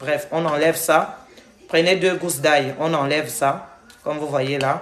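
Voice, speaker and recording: Speech comes at a fairly slow pace in a monotone, flat intonation, with audible room echo and noticeable background noise. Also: woman. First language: not French (speaking French). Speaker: health and weight-loss vlogger. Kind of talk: cooking tutorial livestream. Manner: casual, halting.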